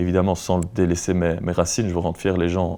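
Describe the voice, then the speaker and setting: Speaking with a Belgian accent, a man has a very deep, low pitch and a dark, mellow tone. He keeps a moderate pace with monotone, flat intonation. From Belgium, Luxembourg province (Wallonia). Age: 20s. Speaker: rock musician. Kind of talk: interview. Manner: hesitant, many fillers.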